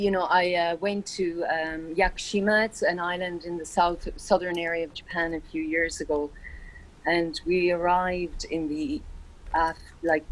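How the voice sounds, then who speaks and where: A woman at a fairly low pitch, speaking at a moderate pace with fairly even intonation. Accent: Irish. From Ireland. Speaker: meditation session participant. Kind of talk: casual sharing in group video call.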